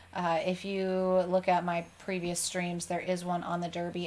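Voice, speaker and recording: This woman talks at a moderate pace with an American accent. Her voice sits at a medium pitch. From Michigan and Arizona, US. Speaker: maker YouTuber, event organizer. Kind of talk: live stream chat.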